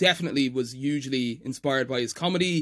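A man with an Irish accent on a very clean recording with a silent background. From Ireland. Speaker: editor and stand-up comedian. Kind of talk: casual chat.

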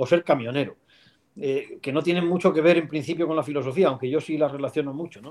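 This man has an unremarkable speaking voice, fairly high in pitch with ordinary pitch variation. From Spain, León. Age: 50s. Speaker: philosophy professor. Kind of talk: interview.

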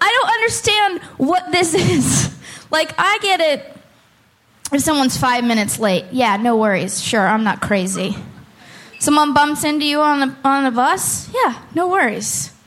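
A high-voiced woman speaks at a fairly slow pace, with very wide pitch swings but very even loudness. Audible echo fills the room. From Oakland. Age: 30s. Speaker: comedian. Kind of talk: stand-up. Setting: stage with audience.

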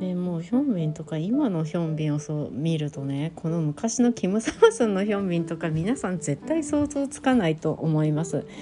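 Amid noticeable background noise, the speaker goes at a fairly quick pace with hardly any pauses and very wide pitch swings. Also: woman, fairly low pitch for a woman. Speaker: solo podcast host talking about Korean dramas. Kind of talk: casual solo podcast monologue.

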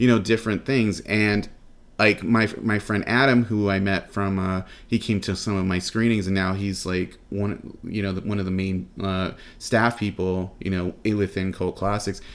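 A man with an American accent and an unremarkable speaking voice talks at a moderate pace. His pitch is fairly low with fairly even intonation, in a very clean recording with a silent background. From Los Angeles. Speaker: film event organizer. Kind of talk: interview.

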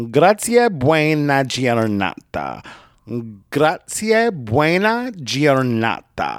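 A man with an American accent at a fairly high pitch, a very slow pace and very wide pitch swings, on a very clean recording with a silent background. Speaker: podcast host. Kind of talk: language lesson. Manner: loud; animated.

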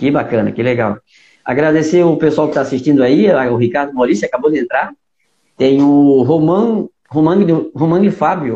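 This man has an ordinary speaking voice, fairly high in pitch, with ordinary pitch variation, a moderate pace and very even loudness. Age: 40s. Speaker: podcast host, karting league organizer. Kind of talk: interview. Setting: live video call.

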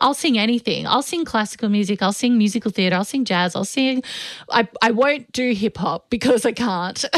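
With a dry, close sound and no echo, a woman talks at a fairly quick pace in a fairly high pitch, using an unremarkable speaking voice with ordinary pitch variation. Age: 30s. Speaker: podcast co-host. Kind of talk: casual chat.

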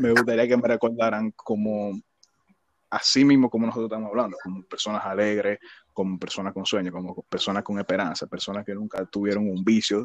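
In an unremarkable speaking voice, a man talks fairly quickly at a fairly low pitch with fairly even intonation, the sound dry and close with no echo. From Dominican Republic, Villa Faro. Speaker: podcast co-host. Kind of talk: casual chat.

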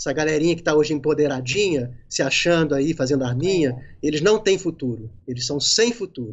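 This man has an unremarkable speaking voice. His pitch is fairly high. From Rio de Janeiro, Brazil. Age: 50s. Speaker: independent filmmaker. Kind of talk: casual interview on a live stream.

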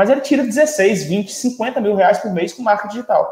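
A man is speaking. His intonation is lively. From Brazil, Ceará (Quixadá). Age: 30s. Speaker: entrepreneur and motivational speaker. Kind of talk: podcast interview. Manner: animated.

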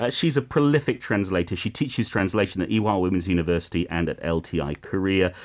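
With a very deep, low pitch and lively intonation, a man speaks at a very fast pace with hardly any pauses on a very clean recording with a silent background. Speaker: radio host. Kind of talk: casual chat. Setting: studio.

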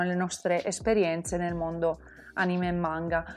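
At a fairly slow pace, a woman talks in an ordinary speaking voice at medium pitch. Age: 20s. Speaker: podcast host. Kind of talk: casual monologue.

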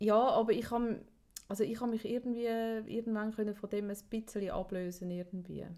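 With a Swiss accent, a woman speaks at a fairly high pitch. Her tone is dark and mellow, her intonation fairly even. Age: 40s. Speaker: podcast co-host. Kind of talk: casual chat.

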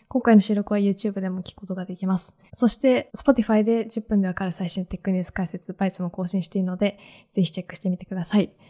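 A woman with a medium-pitched, somewhat breathy voice and a dark, mellow tone speaks at a very fast pace with hardly any pauses, her intonation fairly even and her loudness swinging widely. The sound is dry and close with no echo. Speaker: podcast host. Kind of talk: casual chat. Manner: soft-spoken.

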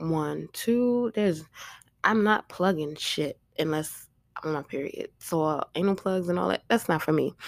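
A woman with a fairly low pitch and ordinary pitch variation speaks at a moderate pace in a dry, close sound with no echo. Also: very clean recording, silent background. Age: 30s. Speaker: podcast host. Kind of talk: casual monologue. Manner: loud.

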